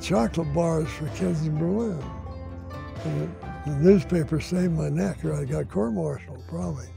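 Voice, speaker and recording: Clear music plays behind a man whose voice sounds dry, with no echo. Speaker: retired Air Force pilot, war veteran. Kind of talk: interview answer. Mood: fond, grateful recollection. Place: garden.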